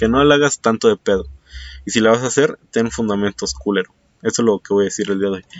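A man with a Mexican accent, fairly low pitch and fairly quick pace. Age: 20s. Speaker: podcast host. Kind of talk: casual solo monologue. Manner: hesitant, many fillers.

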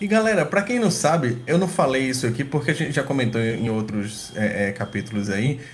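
A man speaks at a medium pitch with very wide pitch swings and hardly any pauses. Audible room echo surrounds his voice. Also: fairly quick pace. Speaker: podcast co-host, hacker. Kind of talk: casual podcast chat. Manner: animated.

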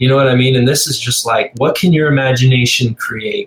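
A somewhat breathy man with a fairly high pitch talks at a fairly quick pace. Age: 40s. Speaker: arcade collector. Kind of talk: casual chat.

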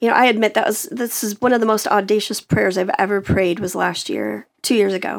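At a moderate pace, a woman with fairly high pitch speaks with vocal fry. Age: 40s. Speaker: singer and speaker. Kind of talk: casual chat. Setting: studio.

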